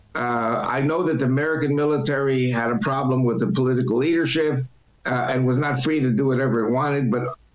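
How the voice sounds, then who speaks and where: A man speaks at a very fast pace with fairly even intonation and very even loudness, against noticeable background noise. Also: medium pitch for a man. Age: 70s. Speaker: political commentator and church speaker. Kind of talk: interview.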